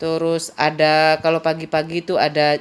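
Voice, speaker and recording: Here a woman speaks with a Madurese accent. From Madura, Indonesia. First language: Madurese (speaking Indonesian). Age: 50s. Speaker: vlogger. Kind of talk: casual personal storytelling.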